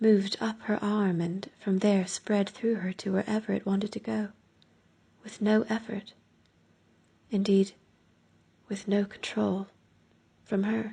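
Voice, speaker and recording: Speaking with an American accent, the voice moves at a fairly slow pace with long, frequent pauses. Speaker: narrator. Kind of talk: audiobook narration.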